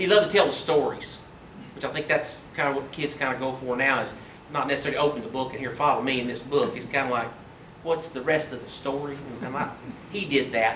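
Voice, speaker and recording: Someone with an Ozark accent talks at a very fast pace with ordinary pitch variation, and the recording has noticeable background noise and audible room echo. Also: man, fairly high pitch for a man. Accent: southern US (Arkansas Ozarks). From Arkansas, Mountain Home. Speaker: high school history teacher. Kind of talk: public lecture. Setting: meeting room with audience. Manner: casual, conversational.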